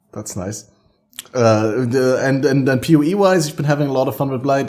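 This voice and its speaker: Talking at a fairly quick pace, a man with a German accent speaks at a medium pitch. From Germany. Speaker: podcast host. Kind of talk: casual chat.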